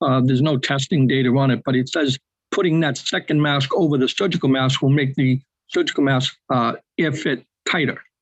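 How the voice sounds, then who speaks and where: A man with a New England accent speaks at a fairly quick pace in a fairly high voice. His loudness stays very even and his intonation fairly even. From New England, Boston. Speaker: webinar attendee asking questions. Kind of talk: webinar Q&A.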